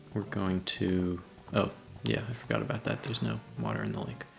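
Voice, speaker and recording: A quiet voice at a moderate pace has music playing in the background. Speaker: gaming tutorial host. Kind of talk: game tutorial commentary. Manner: quiet, low-energy.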